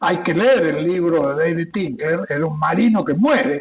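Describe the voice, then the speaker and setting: A man is talking. His pitch rises and falls over a very wide range. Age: 80s+. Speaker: retired air force captain, war veteran. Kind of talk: interview.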